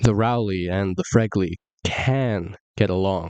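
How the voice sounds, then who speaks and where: A man's normal speaking voice at a fairly low pitch and fairly slow pace, dry and close with no echo, over a quiet background. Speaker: voice-over artist. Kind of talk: comedic copypasta reading.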